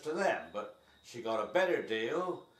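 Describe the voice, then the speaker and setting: Relaxed in tone, a man speaks at a fairly slow pace with audible room echo. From Somerset, west of England. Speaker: host father, English immigrant. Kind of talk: casual interview. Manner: relaxed, with some hesitations.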